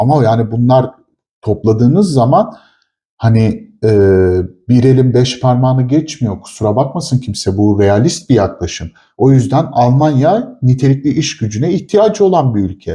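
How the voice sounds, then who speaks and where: Over a quiet background, a man talks with lively intonation and a dark, mellow tone that is somewhat breathy. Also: medium pitch for a man, moderate pace, very even loudness. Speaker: chemist / product developer, co-host. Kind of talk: casual chat.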